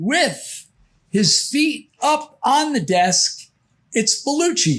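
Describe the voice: A man at a slow pace, fairly bright in tone, with lively intonation.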